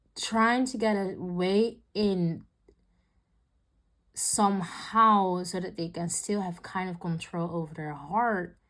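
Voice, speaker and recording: On a very clean recording with a silent background, a woman of medium pitch speaks very slowly in a non-native accent, her intonation fairly even and her pauses long and frequent. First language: not English. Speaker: tarot reader. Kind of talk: tarot reading. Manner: halting.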